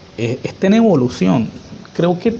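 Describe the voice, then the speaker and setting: A man talks at a moderate pace while background noise stays clearly audible. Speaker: coffee culture researcher. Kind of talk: interview.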